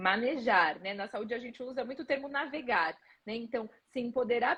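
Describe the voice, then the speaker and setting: A woman's high voice at a fairly quick pace. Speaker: physical education professor. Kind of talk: live stream interview. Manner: fast.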